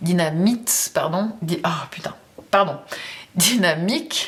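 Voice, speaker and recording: Noticeable background noise surrounds a woman's voice. She speaks with a fairly low pitch and lively intonation. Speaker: tarot reader. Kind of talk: tarot reading monologue. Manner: casual, hesitant with fillers.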